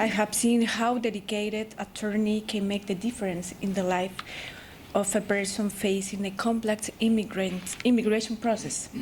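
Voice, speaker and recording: Amid noticeable background noise, a woman with a Spanish accent and a fairly high pitch speaks at a moderate pace in a monotone, flat intonation. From Chile. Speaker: law student, foreign attorney. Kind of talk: prepared presentation. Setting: ceremony with audience.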